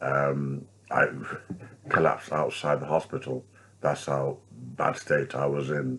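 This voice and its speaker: A man with a British accent, fairly slow in pace, with long, frequent pauses and noticeable background noise. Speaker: street preacher. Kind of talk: vlog commentary. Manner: halting.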